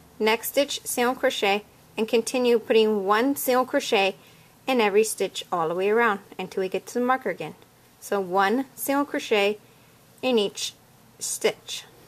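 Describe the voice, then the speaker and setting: At a moderate pace and with ordinary pitch variation, the speaker uses a plain, everyday voice. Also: woman, fairly high pitch for a woman. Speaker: crochet instructor. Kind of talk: tutorial. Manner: casual step-by-step instructing.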